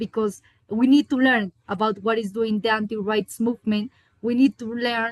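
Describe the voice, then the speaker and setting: Dry and close with no echo, a woman's fairly high voice comes at a moderate pace. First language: Spanish. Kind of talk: panel discussion. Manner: halting.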